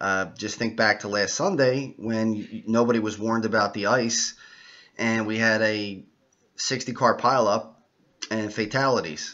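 With an ordinary speaking voice, a man talks at a fairly low pitch and with fairly even intonation against a quiet background. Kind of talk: casual vlog forecast talk. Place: home room. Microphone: webcam.

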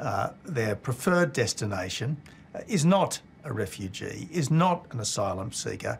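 Light background noise sits behind a man's voice. He speaks at a fairly slow pace and sounds somewhat breathy. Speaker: former politician. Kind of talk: interview answer. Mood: firm, measured. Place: office.

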